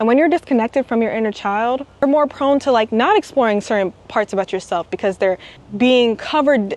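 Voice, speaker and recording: This woman has an unremarkable speaking voice, fairly high in pitch with ordinary pitch variation, talking at a moderate pace in a dry, close sound with no echo. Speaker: spiritual wellness vlogger. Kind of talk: casual vlog monologue.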